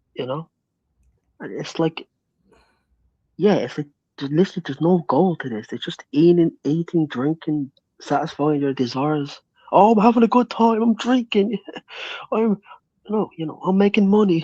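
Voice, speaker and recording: In an Irish accent, a man with a high pitch and a dark, mellow tone speaks with long, frequent pauses, the sound dry and close with no echo. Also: moderate pace. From Ireland. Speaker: guest on a livestream talk show. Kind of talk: casual chat.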